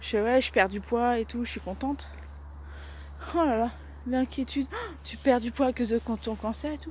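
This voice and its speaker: A woman talks at a moderate pace in a dry sound with no echo, with light background noise. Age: 30s. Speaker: vlogger. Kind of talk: casual daily vlog. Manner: halting, many fillers. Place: street. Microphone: phone near.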